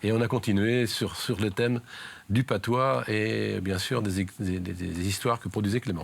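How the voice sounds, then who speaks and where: A man's normal speaking voice at a fairly slow pace, with ordinary pitch variation. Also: fairly low pitch for a man. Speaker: amateur film club founder. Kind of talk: interview answer.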